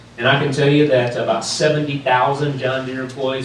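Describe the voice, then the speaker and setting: Talking at a fairly quick pace, a man speaks in a North Carolina accent. Audible room echo and noticeable background noise surround his voice. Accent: Southern US (North Carolina). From North Carolina, US South. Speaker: sales executive, keynote speaker. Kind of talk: keynote address. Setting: stage with audience. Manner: animated, passionate.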